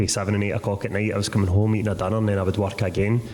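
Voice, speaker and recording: In a Lanarkshire accent, a man speaks flatly and without melody at a fairly low pitch, with audible room echo. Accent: Lanarkshire Scottish. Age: 30s. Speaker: author. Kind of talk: live Q&A answers. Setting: stage with audience.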